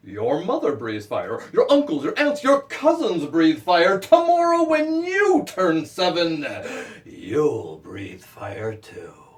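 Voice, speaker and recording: Over noticeable background noise, a man talks at a very slow pace, his loudness swinging widely. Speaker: children's book author. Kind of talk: children's story performance for kids, as at school visits.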